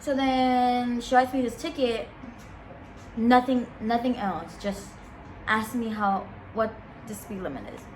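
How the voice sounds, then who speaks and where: With a non-native accent and an animated tone, a woman with a high pitch speaks with long, frequent pauses and big swings in loudness, amid noticeable background noise and audible room echo. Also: ordinary pitch variation, fairly slow pace. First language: not English. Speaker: vlogger. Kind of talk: casual storytime.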